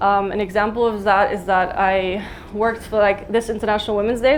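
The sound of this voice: A woman speaks at medium pitch. Her pitch moves very little.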